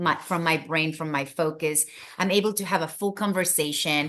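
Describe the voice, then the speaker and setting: A woman with a Spanish accent has a fairly low pitch and a bright, sharp tone. The background is quiet. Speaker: wellness product promoter. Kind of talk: casual chat. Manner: animated.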